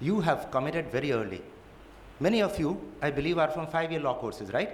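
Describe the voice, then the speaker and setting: Talking very fast at a high pitch, a man with a Gujarati accent uses lively intonation amid audible room echo. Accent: Indian English, Gujarati. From India, Gujarat. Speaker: judge. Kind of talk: lecture.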